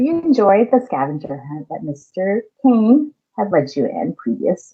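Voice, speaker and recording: A woman's fairly high voice with a Californian accent and very wide pitch swings. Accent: California. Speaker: elementary school teacher. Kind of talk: lesson for children.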